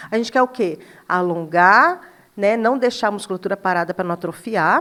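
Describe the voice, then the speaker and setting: A bright, sharp tone marks this woman's medium-pitched voice. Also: ordinary pitch variation. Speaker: dermatologist. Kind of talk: casual chat. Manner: fast.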